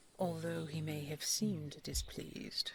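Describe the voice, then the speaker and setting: Putting on a character voice, a woman speaks at a moderate pace in a raspy, very deep, low pitch. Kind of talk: audio roleplay.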